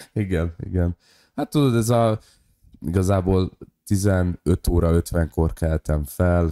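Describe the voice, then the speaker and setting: In a very clean recording with a silent background and a dry, close sound with no echo, a man speaks very slowly with long, frequent pauses, a very deep, low pitch, a dark, mellow tone and very even loudness. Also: ordinary pitch variation. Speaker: podcast co-host and stand-up comedian. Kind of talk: casual chat.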